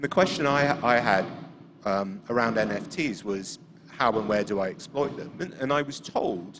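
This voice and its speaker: With noticeable background noise behind him, a man of medium pitch speaks at a moderate pace with lively intonation. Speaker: audience member asking a question. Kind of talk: audience question. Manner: loud.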